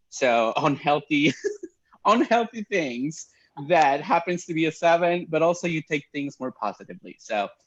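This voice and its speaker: A man with a Spanish accent speaks at a moderate pace. His fairly high voice carries lively intonation. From Mexico. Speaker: pastor. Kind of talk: casual chat.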